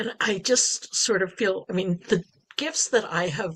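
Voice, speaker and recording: A woman talks at a fairly slow pace in an unremarkable speaking voice. Her pitch sits fairly low, with ordinary pitch variation. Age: 60s. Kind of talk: podcast interview.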